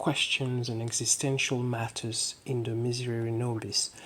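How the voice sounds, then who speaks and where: A soft-spoken woman with a very deep, low voice talks in a relaxed tone at a fairly slow pace, with noticeable background noise behind her. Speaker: fashion illustrator. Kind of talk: casual talk to camera. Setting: close-mic ASMR style recording. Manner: soft-spoken, slow, relaxed.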